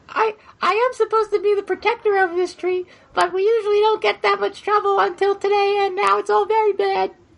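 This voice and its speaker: In a squeaky, put-on character voice pitched extremely high, the speaker moves at a fairly quick pace. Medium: actual play. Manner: huffy and self-important, quick to brighten.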